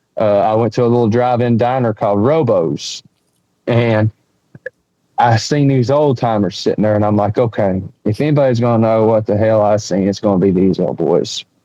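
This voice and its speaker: With an Appalachian accent, a man talks at a fairly quick pace and a medium pitch, keeping his loudness very even and his pitch variation ordinary. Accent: Southern US (Appalachian). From East Tennessee. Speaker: bigfoot witness and researcher. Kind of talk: storytelling interview. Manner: animated.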